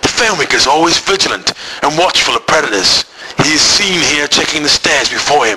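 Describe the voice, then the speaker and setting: A normal speaking voice from a man, fairly high in pitch, with lively intonation, very even loudness and a fairly quick pace. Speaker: school IT teacher. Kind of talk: spoof nature documentary narration.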